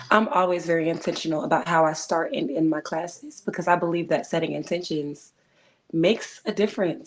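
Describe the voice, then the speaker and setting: At a moderate pace, a woman speaks at a fairly low pitch with ordinary pitch variation. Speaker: twerk fitness instructor. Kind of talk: casual chat; motivational message. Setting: livestream. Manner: loud; animated.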